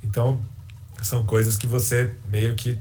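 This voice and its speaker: A man's dark, mellow, somewhat breathy voice at medium pitch, fairly slow, with audible room echo. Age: 30s. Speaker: sports journalist. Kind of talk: casual chat.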